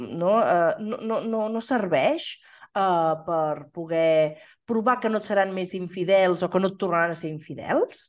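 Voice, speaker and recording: A woman at medium pitch, very slow pace and ordinary pitch variation, against a quiet background. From Catalonia, Osona (Torelló). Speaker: podcast co-host. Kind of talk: casual chat.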